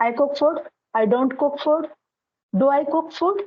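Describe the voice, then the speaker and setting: A woman with an Indian accent speaks with ordinary pitch variation. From India, Haryana. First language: Hindi. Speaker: English tutor. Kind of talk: casual conversation practice, giving advice.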